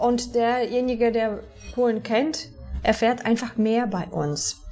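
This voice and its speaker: A woman speaks with a Polish accent at a fairly slow pace. Her pitch is fairly high. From southern Poland, near Częstochowa. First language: Polish (speaking German). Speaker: TV journalist. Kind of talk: interview. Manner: halting.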